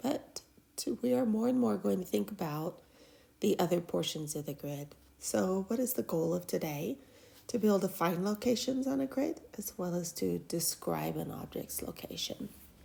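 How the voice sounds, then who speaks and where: A woman with a dark, mellow tone and vocal fry speaks at a moderate pace and fairly low pitch, her pitch swinging very widely. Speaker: math teacher. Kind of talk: lecture.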